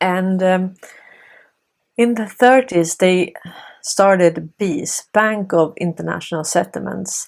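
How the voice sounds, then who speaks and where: A woman at a very slow pace with long, frequent pauses, medium pitch and ordinary pitch variation. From Sweden. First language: Swedish. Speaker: political commentary video host. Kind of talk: monologue commentary.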